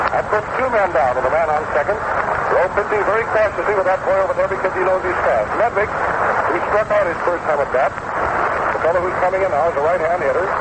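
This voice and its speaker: Over noticeable background noise, a man with an American accent talks in an excited tone at a high pitch and fairly quick pace, his loudness very even. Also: ordinary pitch variation. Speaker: radio sports announcer. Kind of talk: vintage radio baseball play-by-play commentary. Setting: ballpark broadcast booth. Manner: fast, excited, continuous commentary.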